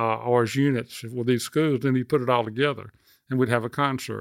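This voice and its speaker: A man in a Southern US accent speaks at a moderate pace and medium pitch with fairly even intonation. The recording is very clean with a silent background, dry and close with no echo. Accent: Southern US (Georgia). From Athens, Georgia, US South. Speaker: musician. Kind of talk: interview.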